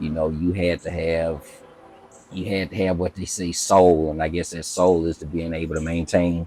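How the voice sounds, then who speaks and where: With an Alabama accent, a man talks at a moderate pace in a very deep, low pitch. His intonation is monotone and flat over noticeable background noise. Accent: Southern US (Alabama). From US South, Auburn, Alabama. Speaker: community member interviewed, military veteran. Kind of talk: interview. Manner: hesitant, many fillers.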